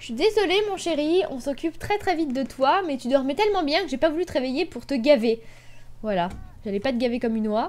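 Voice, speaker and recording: Animated in tone, a woman talks at a fairly quick pace in a high voice, with very wide pitch swings and big swings in loudness. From Brittany, France. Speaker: gaming YouTuber. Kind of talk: let's play commentary.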